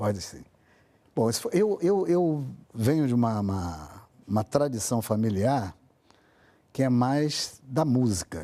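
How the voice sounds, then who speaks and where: Speaking at a fairly slow pace, a man uses a medium pitch and a dark, mellow tone. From Brazil. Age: 70s. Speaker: poet, writer and songwriter. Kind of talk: interview. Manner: halting, many repetitions.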